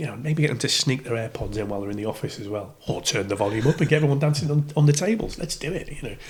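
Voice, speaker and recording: Very fast and lively in intonation, a man speaks. His voice is somewhat breathy. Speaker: radio DJ. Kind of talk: podcast interview answer. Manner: casual, hesitant.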